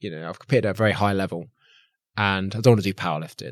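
Talking at a very fast pace with lively intonation, a man with an English accent is heard on a very clean recording against a silent background. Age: 30s. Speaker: army veteran, gym owner and content creator. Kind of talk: podcast interview.

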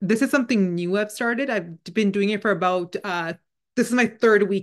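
Speaking at a moderate pace, a woman uses a medium pitch with ordinary pitch variation. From Canada. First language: Punjabi. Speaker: spiritual channeler, podcast host. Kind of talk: spiritual monologue. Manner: casual, conversational.

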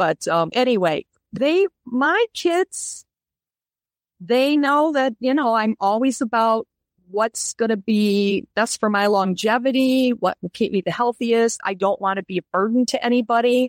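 A woman's fairly high, plain, everyday voice at a fairly slow pace and very even loudness, dry and close with no echo, on a very clean recording with a silent background. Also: lively intonation. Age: 60s. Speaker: interview guest sharing diet experience. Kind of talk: interview conversation.

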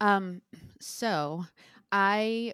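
A woman with an American accent speaks with ordinary pitch variation. The recording is very clean and dry, with a silent background and no echo. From New Jersey (Bayonne). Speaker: Broadway music director and conductor. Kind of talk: interview.

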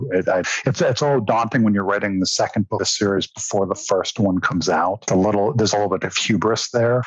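A man's fairly low voice at a very fast pace, with hardly any pauses and very even loudness, amid noticeable background noise. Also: ordinary pitch variation. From raised in London, England. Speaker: novelist. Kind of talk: interview.

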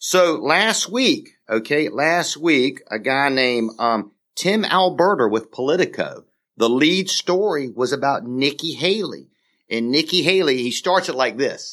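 A man's fairly high voice with an American accent, lively intonation and a normal speaking voice. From US South, South Carolina (St. George, Dorchester County). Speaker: podcast co-host, former state legislator. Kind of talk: casual political chat.

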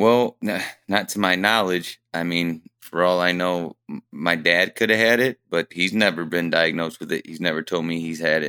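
Recorded very cleanly against a silent background with a dry, close sound and no echo, a man with a very deep, low pitch and a bright, sharp tone speaks in a Midwestern American accent at a moderate pace with ordinary pitch variation. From Fremont, Ohio. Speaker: welder. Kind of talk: interview. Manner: halting.

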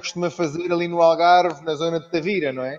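Talking at a moderate pace, a man has an unremarkable speaking voice with a fairly high pitch. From Brazil (Rio de Janeiro), raised with Portuguese family. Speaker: chef. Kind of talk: casual interview chat.

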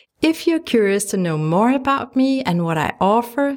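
A woman with a Danish accent speaks in a warm, gentle tone, her pitch swinging very widely. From Denmark. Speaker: podcast host, photographer and life coach. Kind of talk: solo podcast monologue. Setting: home studio. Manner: warm and gentle.

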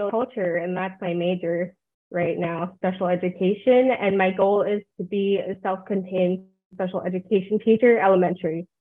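Speaking at a moderate pace and medium pitch, a woman has an ordinary speaking voice. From New Jersey. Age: 20s. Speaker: college student and cosplayer. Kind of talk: casual interview.

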